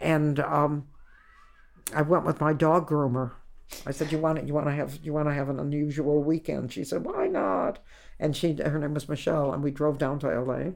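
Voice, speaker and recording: With an American accent, a woman with a very deep, low pitch and vocal fry speaks at a moderate pace and with fairly even intonation. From Ohio, US. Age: 80s+. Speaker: stand-up comedian. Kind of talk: interview. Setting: at home.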